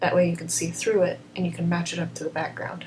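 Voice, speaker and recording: A woman's voice over noticeable background noise. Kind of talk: software tutorial narration. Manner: quiet, subdued.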